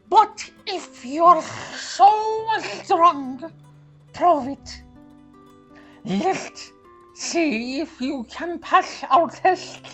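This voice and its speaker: Faint music plays in the background as a put-on character voice speaks at a very slow pace. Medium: read story. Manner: gruff, challenging.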